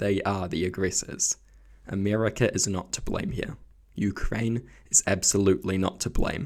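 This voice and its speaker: A man with a fairly low pitch speaks quietly at a moderate pace. His pitch varies in an ordinary way. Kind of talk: opinion commentary to camera.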